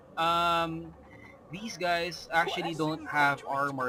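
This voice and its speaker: Noticeable background noise sits behind a man with a Filipino accent whose high voice shows ordinary pitch variation. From Philippines. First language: Filipino language. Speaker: gamer. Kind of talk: gameplay commentary. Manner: hesitant, many fillers.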